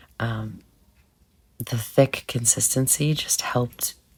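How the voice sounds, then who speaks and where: This woman speaks at a very slow pace. Her voice is somewhat breathy. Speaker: nail art creator. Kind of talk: tutorial. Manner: halting.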